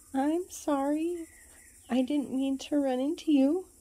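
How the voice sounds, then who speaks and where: A woman uses a put-on character voice with a timid tone and high pitch. She speaks at a fairly slow pace. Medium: read story. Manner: timid, soft.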